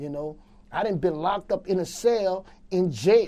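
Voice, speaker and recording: A man's dark, mellow tone with ordinary pitch variation against a quiet background. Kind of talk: street interview, casual talk. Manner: casual, streetwise, repetitive.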